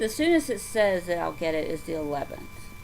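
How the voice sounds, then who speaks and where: With a Southern US accent, a woman speaks using lively intonation. Audible room echo and noticeable background noise fill the recording. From US South. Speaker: craft vlogger. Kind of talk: casual chat. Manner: halting.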